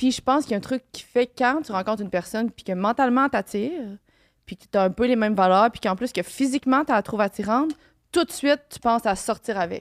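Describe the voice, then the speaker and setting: A woman's fairly high-pitched voice at a very fast pace with lively intonation, a dry, close sound with no echo, and a very clean recording with a silent background. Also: big swings in loudness. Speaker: guest on a podcast. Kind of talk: casual chat.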